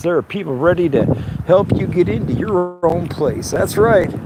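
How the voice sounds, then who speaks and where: Speaking at a moderate pace, a man with a fairly high pitch and ordinary pitch variation talks through noticeable background noise. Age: 60s. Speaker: video blogger. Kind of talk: casual vlog narration.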